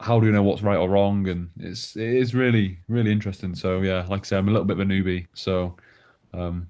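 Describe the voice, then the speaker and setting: Against a quiet background, a man with a northwest English accent talks at a very fast pace in a fairly low pitch with monotone, flat intonation. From northwest England, Manchester. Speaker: newcomer to a philosophy discussion group. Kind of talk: casual group chat introduction. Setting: video call. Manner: hesitant, many fillers.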